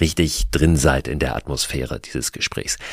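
Vocal fry marks this man's voice. He keeps a moderate pace. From Hamburg, Germany. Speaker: podcast host. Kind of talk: scripted narration.

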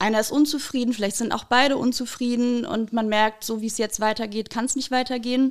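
Hardly pausing at all, a woman with an unremarkable speaking voice talks at a fairly quick pace and a fairly high pitch. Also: fairly even intonation. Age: 30s. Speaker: couples counselor. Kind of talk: podcast interview.

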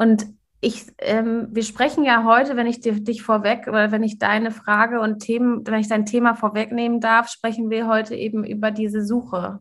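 Breathy to a degree, a woman speaks at a moderate pace in a fairly high pitch with monotone, flat intonation. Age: 40s. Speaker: coach and podcast host. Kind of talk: casual interview chat.

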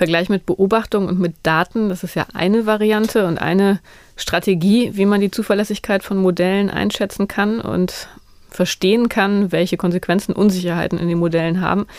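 On a very clean recording with a silent background, a woman speaks at a moderate pace with medium pitch and fairly even intonation. She has an unremarkable speaking voice. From northern Germany. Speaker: science journalist, podcast host. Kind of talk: casual chat.

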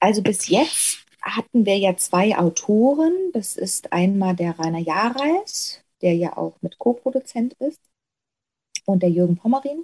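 In a dry, close recording with no echo, a woman at medium pitch speaks fairly slowly with lively intonation, a dark, mellow tone and a somewhat breathy quality. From Saxony, Erzgebirge (Stollberg). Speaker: actress. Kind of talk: interview conversation.

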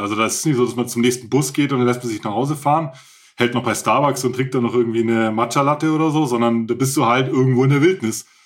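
A man talks at a medium pitch, his intonation fairly even. The background is silent and the recording very clean. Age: 40s. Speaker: ultrarunner and author. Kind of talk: interview. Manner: hesitant, many filler sounds.

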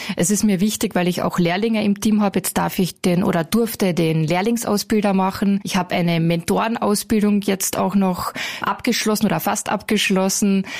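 Over noticeable background noise, a woman at a medium pitch speaks at a moderate pace with hardly any pauses, fairly even intonation, and very even loudness. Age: 30s. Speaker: call centre team leader. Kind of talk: interview.

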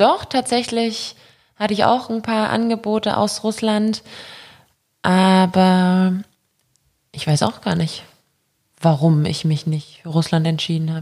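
A woman speaks very slowly and somewhat breathily, with ordinary pitch variation and long, frequent pauses. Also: medium pitch for a woman. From Germany (born in Belarus, moved as child). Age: 20s. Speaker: professional handball player. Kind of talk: casual interview. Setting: on location at her studio.

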